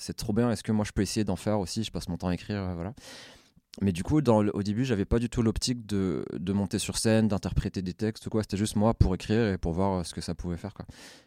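In a very clean recording with a silent background, a man speaks fairly quickly in a fairly low pitch, his dark, mellow tone showing ordinary pitch variation and a dry, close sound with no echo. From France, Essonne (Paris suburbs). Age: 20s. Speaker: freestyle footballer and slam poet. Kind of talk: casual interview.

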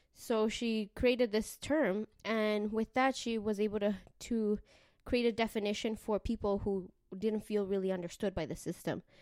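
On a very clean recording with a silent background, a woman speaks at a moderate pace in a Canadian accent. Hers is a normal speaking voice, fairly high in pitch, with fairly even intonation.

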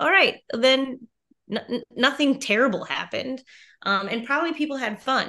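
The voice is raised and projected, with a bright, sharp tone and ordinary pitch variation. It moves at a fairly slow pace against a quiet background. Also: woman. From US Midwest, Wisconsin (Merrill). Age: middle-aged. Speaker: music teacher. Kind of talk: casual chat.

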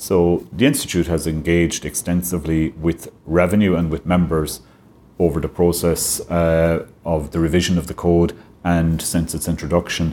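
His voice is very deep and low, dark and mellow in tone, delivered at a moderate pace with flat, monotone intonation. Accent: western Irish. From Ireland, County Clare. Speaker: tax advisor. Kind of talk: interview.

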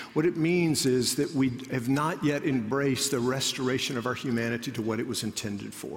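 A man speaks at a fairly quick pace with hardly any pauses, his voice carrying audible room echo over noticeable background noise. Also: medium pitch for a man, ordinary pitch variation. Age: 30s. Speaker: pastor. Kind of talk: sermon. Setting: church auditorium.

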